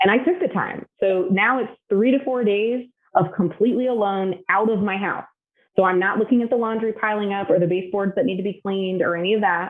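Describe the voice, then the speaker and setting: A woman with a medium pitch speaks at a fairly quick pace with fairly even intonation. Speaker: executive business coach. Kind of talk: interview. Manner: loud.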